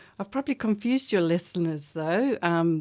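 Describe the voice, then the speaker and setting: A South African accent on a very clean recording with a silent background. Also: woman. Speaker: bridge club director. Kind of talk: radio interview. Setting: radio studio.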